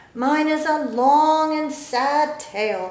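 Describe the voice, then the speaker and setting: A woman's put-on character voice, high-pitched and very slow, with slight echo. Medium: read story. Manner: severe, huffy.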